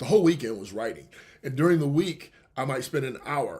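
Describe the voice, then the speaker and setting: A somewhat breathy man is heard on a very clean recording, the background silent. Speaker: radio show host and author. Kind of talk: radio show monologue. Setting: live internet radio show. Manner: fast.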